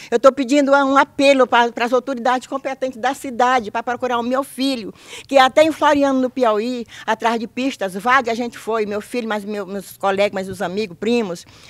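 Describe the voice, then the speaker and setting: A woman talks at a fairly quick pace with hardly any pauses. Her voice is high-pitched and shows ordinary pitch variation. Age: old. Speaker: mother of missing man. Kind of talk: testimony. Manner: halting. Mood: worried, pleading. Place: garden. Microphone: handheld.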